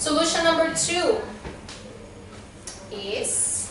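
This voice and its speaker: Speaking very slowly with a Brazilian accent, a woman is heard through noticeable background noise and audible room echo. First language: Portuguese. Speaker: nutrition or health coach. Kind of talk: health talk to an audience.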